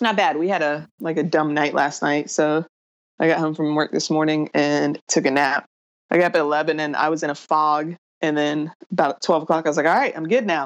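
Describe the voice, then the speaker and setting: In an American accent, a woman talks at a fairly quick pace with a very deep, low pitch against a quiet background. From US South, Raleigh, North Carolina. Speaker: firefighter. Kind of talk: casual chat.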